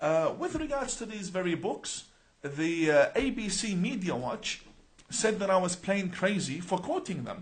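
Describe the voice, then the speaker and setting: Speaking at a fairly slow pace, the man has a high pitch and lively intonation. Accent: Arabic. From Australia (born Iran, Iraqi family). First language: Arabic. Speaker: imam. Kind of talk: live-stream announcement to viewers. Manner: animated, many rhetorical questions.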